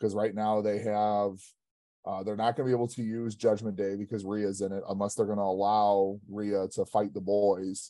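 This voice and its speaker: With a dark, mellow tone and an American accent, the speaker delivers monotone, flat intonation at a moderate pace over a quiet background. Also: man, fairly low pitch for a man. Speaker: guest co-host, coach. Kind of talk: casual chat.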